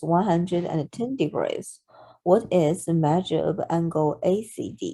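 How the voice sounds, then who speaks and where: A woman with a Chinese accent, fairly low-pitched, lively intonation, fairly slow pace, on a very clean recording with a silent background. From China. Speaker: math tutor. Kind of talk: math tutorial narration. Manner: slow, hesitant with fillers.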